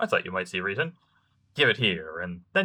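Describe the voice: This is a voice reading aloud. The delivery is plain.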